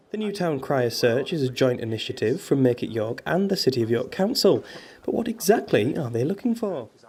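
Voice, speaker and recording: With noticeable background noise, a man speaks fairly quickly in a fairly high pitch, his voice making very wide pitch swings. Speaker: TV news reporter. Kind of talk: news report voiceover.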